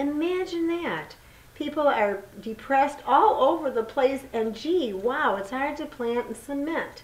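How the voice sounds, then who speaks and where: Against noticeable background noise and audible room echo, a woman talks at a fairly slow pace with very wide pitch swings. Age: 60s. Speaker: community gardener and author. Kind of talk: casual chat.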